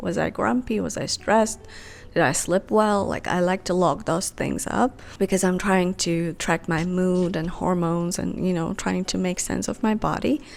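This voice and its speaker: A woman with a non-native accent talks at a moderate pace and a medium pitch, with ordinary pitch variation, in a very clean recording with a silent background. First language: not English. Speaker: lifestyle vlogger. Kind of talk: casual vlog talk to camera.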